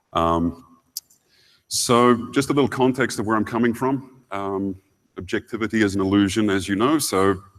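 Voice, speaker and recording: A man speaks with a New Zealand accent. His pitch is fairly low, with ordinary variation. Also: moderate pace. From New Zealand, Wellington. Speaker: security engineering lead, conference speaker. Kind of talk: conference keynote. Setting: stage with audience. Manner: frequent fillers and hesitations.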